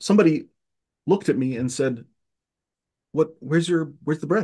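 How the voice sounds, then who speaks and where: Against a quiet background, a man with a dark, mellow tone speaks at a fairly high pitch with lively intonation. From Egypt, Cairo (Armenian community). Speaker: podcast guest. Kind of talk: casual conversation. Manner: halting, many fillers and restarts.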